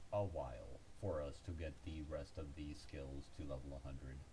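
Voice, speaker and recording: This man's voice has a dark, mellow tone, is somewhat breathy, and shows ordinary pitch variation. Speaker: gaming video creator. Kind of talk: game tutorial voice-over. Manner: hesitant, frequent stuttering and filler words.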